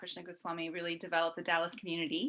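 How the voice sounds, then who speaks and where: Here a woman speaks with a bright, sharp tone. The background is quiet. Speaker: event moderator. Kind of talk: event introductions. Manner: soft-spoken.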